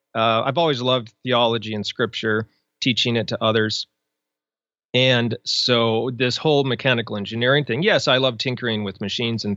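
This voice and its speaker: At a moderate pace, a man speaks in an ordinary speaking voice, medium in pitch with ordinary pitch variation. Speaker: blogger, author and podcaster. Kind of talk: casual interview chat.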